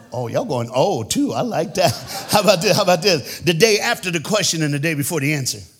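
With music in the background and audible room echo, a man with a high voice talks very fast in an animated tone, his pitch swinging very widely. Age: 50s. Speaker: preacher. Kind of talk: sermon. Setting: church.

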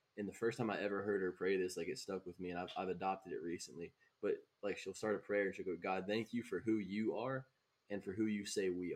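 Someone speaks at a very fast pace with a Southern US accent. The intonation stays fairly even. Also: man, fairly low pitch for a man. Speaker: podcast host. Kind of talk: casual chat.

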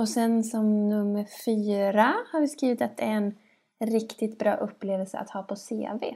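A woman's dark, mellow tone at a fairly high pitch, fairly slow and fairly even, on a very clean recording with a silent background. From western Sweden (Skövde area, farm). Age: 30s. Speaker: podcast co-host. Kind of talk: casual chat.

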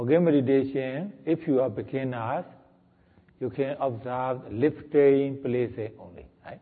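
A man with an unremarkable speaking voice at medium pitch talks at a fairly slow pace, his intonation fairly even but his loudness swinging widely. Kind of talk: guided meditation. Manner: slow, calm, deliberate, giving step-by-step instructions with repeated words.

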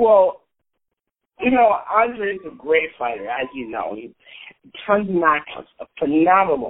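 A high-pitched man with an American accent at a fairly slow pace, with long, frequent pauses, very wide pitch swings and big swings in loudness. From upstate New York, Scotia. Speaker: amateur MMA fighter. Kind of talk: casual interview. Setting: phone call.

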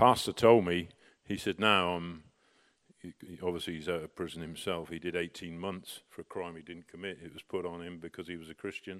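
A man speaks at a fairly quick pace with a very deep, low pitch and monotone, flat intonation, with big swings in loudness. The recording is very clean, with a silent background and a dry, close sound with no echo. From Britain. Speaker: visiting preacher, missionary. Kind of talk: sermon.

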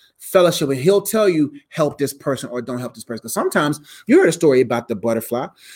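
A man speaks with an ordinary speaking voice at a fairly high pitch, his intonation lively. The recording is very clean, with a silent background. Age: 30s. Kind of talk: live q and a stream. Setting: live stream. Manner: casual, filler-heavy.

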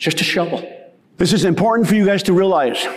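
Noticeable background noise surrounds a man who speaks fairly quickly. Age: 60s. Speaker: soil health educator. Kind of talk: conference keynote talk. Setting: stage with audience. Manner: animated.

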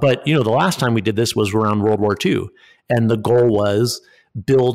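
On a very clean recording with a silent background, a man with an American accent and a plain, everyday voice speaks at a fairly low pitch and a moderate pace, with ordinary pitch variation. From Connecticut, US Northeast. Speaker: progressive political organizer and think tank director. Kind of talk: casual conversational interview.

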